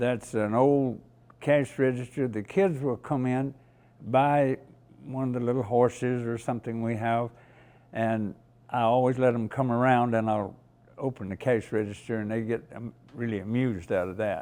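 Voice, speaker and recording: In a Southern US accent, a man speaks with a dark, mellow tone. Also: medium pitch for a man, fairly even intonation, moderate pace. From US South, rural North Carolina. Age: 90s. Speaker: museum volunteer, Navy veteran. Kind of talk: interview.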